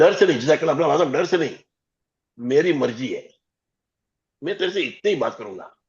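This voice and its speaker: This man's voice sits fairly high, with vocal fry and lively intonation. He keeps a moderate pace but takes long, frequent pauses. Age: 60s. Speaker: life coach. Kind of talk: group coaching session on video call, Hindi-English mix.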